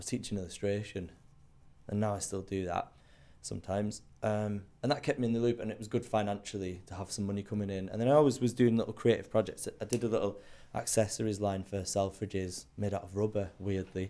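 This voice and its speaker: Speaking at a very fast pace, a man keeps a dark, mellow tone, a fairly low pitch and fairly even intonation. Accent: Cumbrian. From Cumbria, northern England. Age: 30s. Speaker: illustrator and designer. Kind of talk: casual interview chat. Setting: recording in a townhouse.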